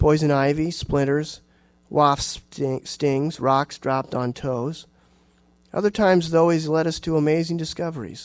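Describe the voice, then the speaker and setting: A man with an American accent speaks at a fairly slow pace and a fairly high pitch. His intonation is fairly even over a quiet background. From Iowa, US Midwest. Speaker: writer and university teacher; university teacher. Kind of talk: audience Q&A; lecture with reading aloud. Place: hall.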